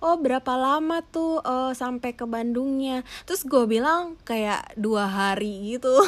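A woman's high-pitched speech with ordinary pitch variation and hardly any pauses, over noticeable background noise. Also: fairly slow pace. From Aceh, Sumatra, Indonesia. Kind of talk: casual chat.

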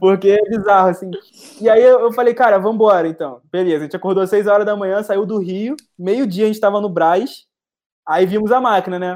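Here a man talks at a fairly quick pace. His voice is high. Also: ordinary pitch variation. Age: 20s. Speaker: entrepreneur, founder of a leather goods brand. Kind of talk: casual interview chat.

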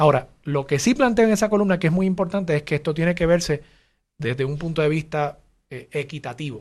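An unremarkable speaking voice from a man, fairly high-pitched, at a fairly quick pace with ordinary pitch variation. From Puerto Rico (Levittown). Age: 40s. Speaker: mayoral candidate. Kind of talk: interview.

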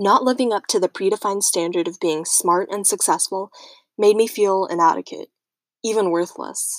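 A woman with a plain, everyday voice speaks at a moderate pace and medium pitch, with ordinary pitch variation. The sound is dry and close with no echo, on a very clean recording with a silent background. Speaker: student podcaster. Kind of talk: scripted narration.

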